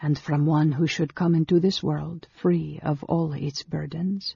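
This put-on character voice has a dark, mellow tone, a husky, rough edge, vocal fry and fairly even intonation. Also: man, fairly high pitch for a man, fairly slow pace, dry, close sound with no echo.

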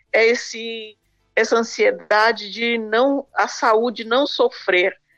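With music in the background, a woman talks at a very slow pace in a fairly high voice. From Brazil. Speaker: radio commentator. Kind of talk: casual chat. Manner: halting.

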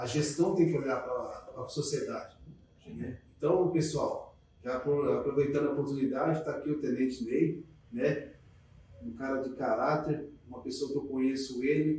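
With an ordinary speaking voice, a man talks at a moderate pace and a fairly high pitch, keeping his intonation fairly even. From Jundiaí, São Paulo state, Brazil. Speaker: bus driver. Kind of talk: casual podcast conversation.

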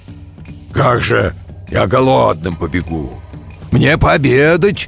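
A natural voice reads the text aloud.

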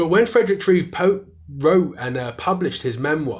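Speaking at a moderate pace with a British accent, a man sounds somewhat breathy, with very wide pitch swings. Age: 30s. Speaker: historian and author. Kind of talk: interview.

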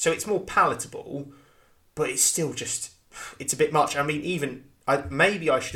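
Bright and sharp in tone, a man's voice moves along at a moderate pace. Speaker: podcast host. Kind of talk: casual chat.

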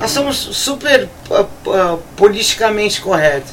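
A woman at a fairly slow pace with very wide pitch swings and noticeable background noise. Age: 50s. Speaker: rock radio co-host. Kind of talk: casual chat.

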